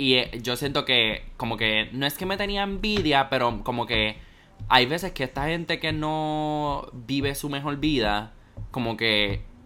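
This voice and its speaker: A man speaks at a medium pitch in a normal speaking voice, his intonation lively. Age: 19. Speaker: podcast co-host, university student. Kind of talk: casual chat.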